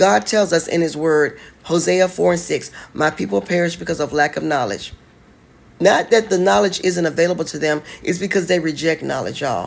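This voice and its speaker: A woman with a fairly low pitch speaks at a fairly quick pace, her lively intonation edged with vocal fry. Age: 40s. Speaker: online business coach. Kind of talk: livestream talk. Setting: live stream. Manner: animated.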